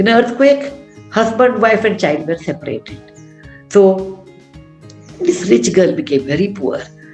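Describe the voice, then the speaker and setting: Music plays in the background while a woman talks at a fairly slow pace with long, frequent pauses. Her pitch is medium, with very wide swings. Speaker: author. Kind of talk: storytelling at a book session. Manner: conversational, hesitant.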